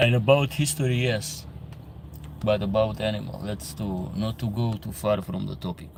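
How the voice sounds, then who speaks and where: Speaking with an Albanian accent, a man of fairly low pitch uses lively intonation at a moderate pace. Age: 30s. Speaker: livestream host. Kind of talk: casual chat. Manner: halting.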